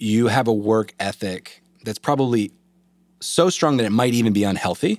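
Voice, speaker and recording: A man talks at a moderate pace with a medium pitch. The recording is very clean, with a silent background and a dry, close sound with no echo. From Eastern North Carolina. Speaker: lawyer and legal education entrepreneur. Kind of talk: casual interview chat over drinks. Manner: hesitant, many fillers and repeats.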